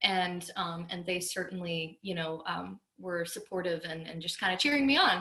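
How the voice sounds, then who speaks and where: A woman with an American accent speaks at a moderate pace in a fairly low pitch with ordinary pitch variation and a normal speaking voice. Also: hardly any pauses. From US South, West Palm Beach, Florida. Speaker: country singer-songwriter. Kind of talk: casual interview.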